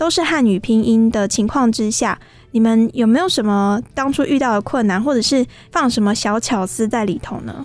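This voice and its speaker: Her intonation is lively as this woman speaks at a fairly high pitch. The pace is moderate. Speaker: radio host. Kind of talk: radio interview. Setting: studio. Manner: animated.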